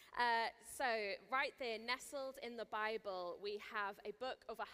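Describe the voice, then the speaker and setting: A woman with a Welsh accent and a bright, sharp tone. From Wales. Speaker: Bible teacher, festival speaker. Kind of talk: sermon. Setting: stage with audience. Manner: casual, chatty.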